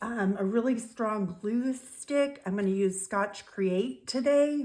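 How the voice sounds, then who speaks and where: Pitch varies in an ordinary way as the speech goes fairly slowly, with noticeable background noise present. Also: woman. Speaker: craft youtuber. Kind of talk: tutorial. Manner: casual with filler ums.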